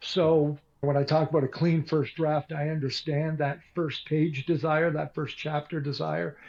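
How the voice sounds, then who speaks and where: A man speaks at a fairly slow pace with a fairly high pitch. His voice is somewhat breathy and monotone, with flat intonation. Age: 60s. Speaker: author and radio broadcaster. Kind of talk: interview.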